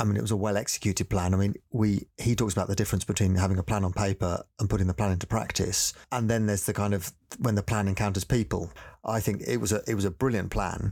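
A man speaks very fast at a fairly low pitch, with fairly even intonation and very even loudness. The recording is very clean, with a silent background. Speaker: church planting director. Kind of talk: interview.

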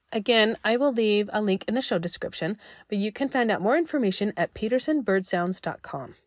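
An ordinary speaking voice from a woman, fairly high in pitch, with lively intonation and a fairly quick pace, dry and close with no echo in a very clean recording with a silent background. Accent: American. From Utah. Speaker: podcast host. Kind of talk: scripted narration.

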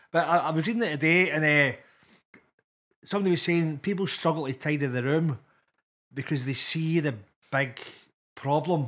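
A man with a Glasgow accent speaks at a fairly high pitch and a moderate pace, with ordinary pitch variation. He leaves long, frequent pauses on a very clean recording with a silent background. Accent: Scottish (Glasgow area). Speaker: comedian. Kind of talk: casual chat.

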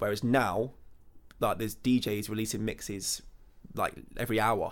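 In a West Midlands accent, a man speaks at a medium pitch and moderate pace with a monotone, flat intonation and long, frequent pauses. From English Midlands, Burton on Trent. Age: 20s. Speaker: DJ. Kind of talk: interview. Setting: hotel room.

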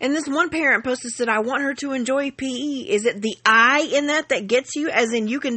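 In a Southern US accent, a woman talks at a fairly quick pace with a high pitch and lively intonation. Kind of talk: angry rant, reading aloud her own furious parent-group post. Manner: grouchy, blunt and profane, refusing to play nice; exasperated, sarcastic venting with emphatic asides to viewers.

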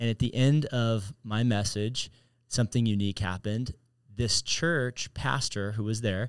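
In a very clean recording with a silent background and a dry, close sound with no echo, a man at medium pitch with ordinary pitch variation has an unremarkable speaking voice. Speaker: podcast host, pastor. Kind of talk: casual interview chat.

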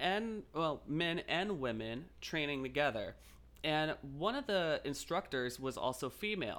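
A man with an American accent uses a normal speaking voice at a fairly high pitch. He talks at a fairly slow pace with lively intonation. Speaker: podcast host. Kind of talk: casual interview chat.

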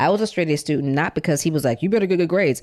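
A woman's very deep, low voice at a very fast pace with lively intonation, on a very clean recording with a silent background. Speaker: author and showrunner. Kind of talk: casual interview storytelling.

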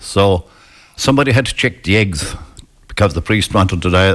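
Lively intonation marks a man's speech in a rural Irish accent. He keeps a moderate pace. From west of Ireland. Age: 70s. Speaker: retired psychiatric nurse. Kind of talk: storytelling in a casual interview. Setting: live outside broadcast with local audience.

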